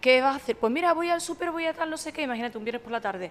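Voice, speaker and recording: The speaker is a woman. Her intonation is lively. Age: 40s. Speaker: sommelier and social media communicator. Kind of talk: casual chat.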